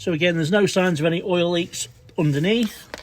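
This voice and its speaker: A man with a Derbyshire accent, high in pitch, at a fairly quick pace amid noticeable background noise. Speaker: car salesman. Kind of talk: product walkaround video. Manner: casual, slightly stumbling.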